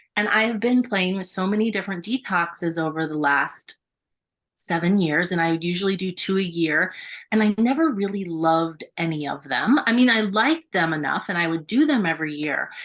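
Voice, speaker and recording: The recording is very clean, with a silent background. A woman speaks in a plain, everyday voice at medium pitch, with lively intonation and a fairly quick pace. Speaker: yoga studio owner and Reiki master. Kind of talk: radio interview. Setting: radio studio.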